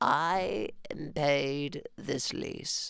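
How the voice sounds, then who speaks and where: Pitched in the middle range, the voice is a put-on character voice. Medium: read story.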